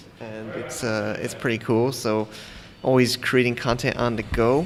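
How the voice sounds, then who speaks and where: A man with an American accent speaks in a monotone, flat intonation. Noticeable background noise runs under his voice. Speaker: podcast host. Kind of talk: podcast interview. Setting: coffee shop in Bangkok. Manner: casual, halting.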